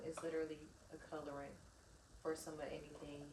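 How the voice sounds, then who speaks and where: Amid audible room echo and noticeable background noise, a woman speaks very fast in a very deep, low pitch. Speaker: vlogger and small cosmetics business owner. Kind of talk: casual vlog chat.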